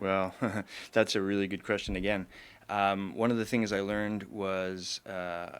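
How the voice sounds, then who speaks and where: A man speaks at a fairly low pitch in a flat, monotone way. His pace is fairly slow, and the recording is very clean with a silent background. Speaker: IT business founder. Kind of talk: interview. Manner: halting.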